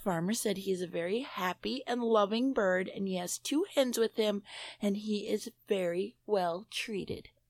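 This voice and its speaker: An unremarkable speaking voice with an American accent moves at a moderate pace with ordinary pitch variation. The recording is very clean and dry, close with no echo, against a silent background. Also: woman, medium pitch for a woman. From US Midwest, Minnesota. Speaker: paranormal enthusiast, panel guest. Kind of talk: reading news stories aloud.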